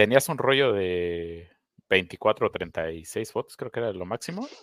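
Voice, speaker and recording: A man's lively intonation comes through on a very clean recording with a silent background. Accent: Mexican. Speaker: podcast co-host. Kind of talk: casual chat. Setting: live stream.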